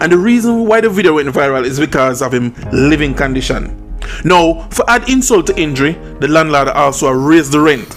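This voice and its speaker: Music plays behind a man speaking with a Jamaican accent. His fairly high voice moves at a fairly quick pace with lively intonation. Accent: Jamaican Patois-inflected English. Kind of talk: commentary talk to camera. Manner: blunt, opinionated.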